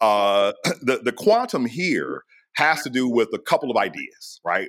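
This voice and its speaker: On a very clean recording with a silent background, a man at a medium pitch talks at a moderate pace with very wide pitch swings. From US. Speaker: astrophysicist. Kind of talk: interview. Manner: casual.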